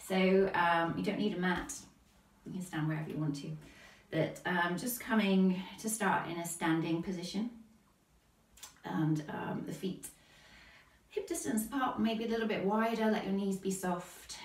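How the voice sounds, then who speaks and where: A woman speaks at a medium pitch with ordinary pitch variation, leaving long, frequent pauses. Audible room echo and noticeable background noise fill the recording. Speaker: yoga teacher. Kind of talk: guided yoga class. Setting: livestream class. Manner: calm, slow.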